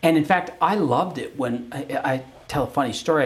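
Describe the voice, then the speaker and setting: A man talks with a Canadian accent and ordinary pitch variation. Noticeable background noise is present. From Calgary, Canada. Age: 60s. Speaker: lawyer and TV reality show co-host. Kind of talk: casual interview conversation. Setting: law firm boardroom.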